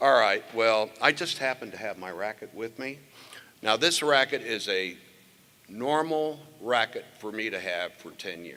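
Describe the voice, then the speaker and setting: A man at a fairly slow pace, bright and sharp in tone, with lively intonation and big swings in loudness. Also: medium pitch for a man. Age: 70s. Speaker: former state tennis champion presenting an award. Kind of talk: award ceremony speech with banter. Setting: stage with audience. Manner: animated.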